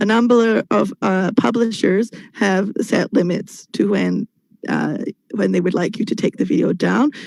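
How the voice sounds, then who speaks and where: Heard dry and close with no echo, a woman with vocal fry talks at a fairly slow pace and medium pitch, with ordinary pitch variation and very even loudness. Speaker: English teacher. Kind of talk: webinar presentation. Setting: video call.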